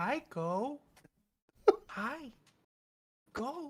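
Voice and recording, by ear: This is a put-on character voice. It sounds female and is pitched high.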